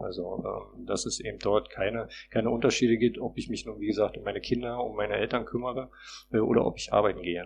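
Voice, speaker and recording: A man talks at a very fast pace with vocal fry and fairly even intonation. His pitch sits in the medium range, and the background is quiet. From Berlin, Prenzlauer Berg. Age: 40s. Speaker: parliamentary candidate. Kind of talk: interview. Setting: recording studio. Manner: halting, many fillers.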